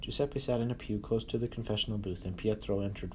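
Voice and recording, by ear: The text is read aloud naturally. Fairly even intonation holds throughout.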